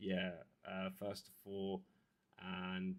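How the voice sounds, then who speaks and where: A man's mumbling, fairly low voice with monotone, flat intonation. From Devon, southwest England. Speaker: YouTube streamer, hobbyist. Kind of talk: casual livestream chat. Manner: mumbly; soft-spoken.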